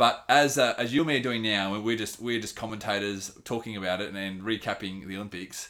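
With an Australian accent, a man speaks at a fairly quick pace with hardly any pauses, his fairly low voice bright and sharp in tone, showing ordinary pitch variation and big swings in loudness. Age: 30s. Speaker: running enthusiast, host's best friend. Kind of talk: casual chat. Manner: animated.

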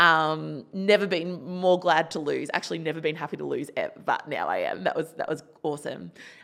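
Talking at a fairly quick pace with hardly any pauses, a woman speaks in an Australian accent. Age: 30s. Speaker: psychologist and suicide researcher. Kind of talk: personal testimony interview.

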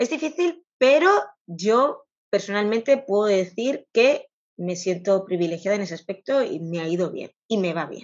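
In an unremarkable speaking voice, a woman talks at a moderate pace and medium pitch, her intonation lively and her loudness swinging widely. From Catalonia, Spain. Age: 40s. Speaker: vintage clothing shop owner. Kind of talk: interview.

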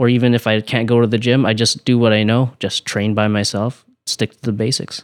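Soft-spoken and monotone, a man at medium pitch talks with hardly any pauses and big swings in loudness, the sound dry and close with no echo on a very clean recording with a silent background. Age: 20s. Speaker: professional boxer. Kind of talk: casual interview.

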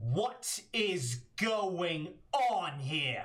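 The speaker uses a put-on character voice pitched in the middle range. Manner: commanding, demanding.

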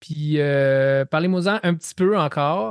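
At a very slow pace, a man with a Quebec accent speaks at a fairly high pitch, the sound dry and close with no echo against a quiet background. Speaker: podcast host. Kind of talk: casual interview.

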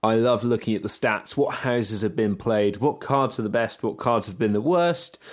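The man talks at a medium pitch and a moderate pace, with hardly any pauses. He has an ordinary speaking voice with ordinary pitch variation. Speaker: podcast host. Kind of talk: casual interview chat.

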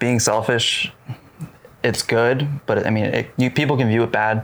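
The loudness stays very even throughout. Long, frequent pauses break up the speech over noticeable background noise. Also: man. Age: 20s. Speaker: podcast co-host. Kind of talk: casual chat.

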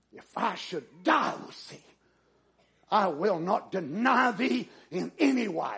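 Using a put-on character voice, a man speaks at a fairly slow pace, high in pitch and strained. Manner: vehement, on the verge of anger.

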